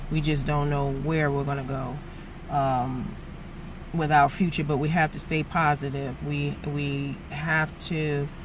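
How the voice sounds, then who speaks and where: Heard with audible room echo and noticeable background noise, a woman with an American accent speaks at a fairly slow pace in a monotone, flat intonation at a very deep, low pitch. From New York City (the Bronx). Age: 50s. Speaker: travel vlogger and small business owner. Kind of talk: casual vlog talk to camera. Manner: conversational with many fillers (uh, um).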